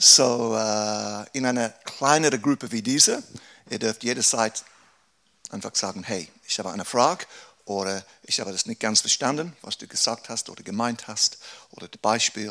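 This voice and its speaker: His pace is fairly slow. This man has a medium pitch that varies in an ordinary way. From England. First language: English (speaking German). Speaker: pastor. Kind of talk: workshop talk. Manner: halting.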